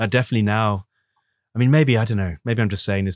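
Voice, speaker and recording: A man with an English accent speaks with fairly even intonation in a very clean recording, with a silent background and a dry, close sound with no echo. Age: 40s. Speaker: nature photographer and podcast host. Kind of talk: casual interview.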